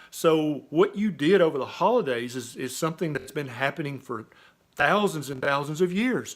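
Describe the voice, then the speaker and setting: With an ordinary speaking voice, a man at a fairly high pitch talks at a moderate pace with lively intonation on a very clean recording with a silent background. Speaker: physician. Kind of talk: casual talk to camera.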